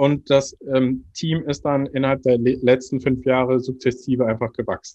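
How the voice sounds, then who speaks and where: A man at medium pitch speaks at a moderate pace in a monotone, flat intonation. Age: 30s. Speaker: marketing department head. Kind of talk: interview.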